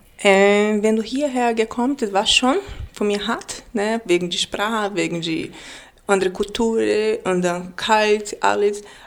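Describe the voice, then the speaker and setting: A woman speaks at a fairly slow pace in a Brazilian accent. Her medium-pitched voice has ordinary pitch variation. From Brazil, Manaus. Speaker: café owner and baker. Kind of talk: casual interview. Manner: halting, broken German.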